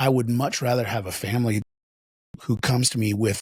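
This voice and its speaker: A somewhat breathy male voice, dry and close with no echo. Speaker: addiction intervention professional. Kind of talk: podcast conversation. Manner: halting, repeats words.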